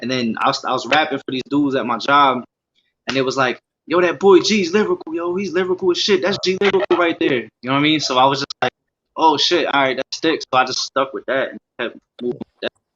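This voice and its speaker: A man speaks at a very fast pace with an American accent. His pitch variation is ordinary. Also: fairly high pitch for a man. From US Northeast, Scranton, Pennsylvania. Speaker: rapper. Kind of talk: casual interview.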